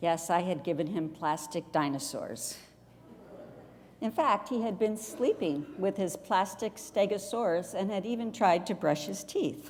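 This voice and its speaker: A woman speaks fairly slowly in a medium-pitched voice with lively intonation. It is a normal speaking voice. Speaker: retired pastor, guest preacher. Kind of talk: church sermon.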